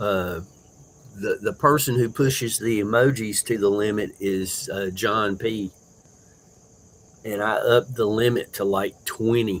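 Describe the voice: A man speaks with a fairly low pitch and fairly even intonation. His pace is slow.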